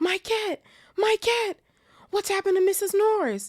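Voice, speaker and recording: In a put-on character voice, someone talks at a moderate pace, squeaky, shrill and extremely high-pitched, with a panicked tone. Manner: shrieking, panicked.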